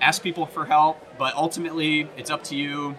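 Music plays in the background as a man talks at a fairly quick pace with a fairly high pitch. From US South, Tennessee near Nashville. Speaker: musician. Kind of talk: interview.

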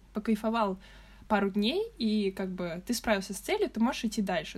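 Somewhat breathy, a woman's voice holds fairly even intonation. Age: young (19). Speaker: design student. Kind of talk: casual chat.

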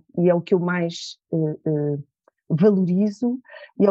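In a dry, close sound with no echo, a fairly low-pitched woman speaks with a dark, mellow tone and ordinary pitch variation. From Portugal, Lisbon area. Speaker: image and attitude trainer, former model. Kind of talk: interview.

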